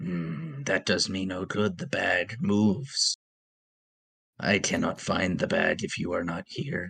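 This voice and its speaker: A man's raspy put-on character voice, fairly low in pitch, fairly slow, with very wide pitch swings. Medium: actual play. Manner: stilted, literal, starts with a musing hum.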